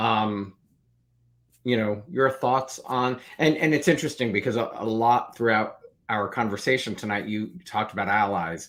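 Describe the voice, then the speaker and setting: Speaking with an American accent, a man has a medium pitch and ordinary pitch variation. It is an unremarkable speaking voice, in a very clean recording with a silent background. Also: moderate pace. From New Jersey. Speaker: interview show host. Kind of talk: interview.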